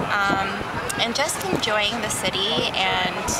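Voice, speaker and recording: Loud background noise runs under the recording. Over it, a woman talks at a very slow pace. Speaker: interviewee. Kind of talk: casual vlog chat. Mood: relaxed, cheerful. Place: street. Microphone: phone near.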